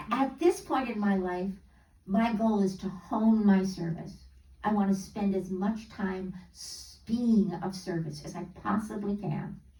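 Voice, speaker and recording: Amid audible room echo, a woman at medium pitch talks fairly slowly with fairly even intonation and big swings in loudness. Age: 80s+. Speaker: guest speaker, music teacher. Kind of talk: talk to a congregation. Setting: church service. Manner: halting, many fillers.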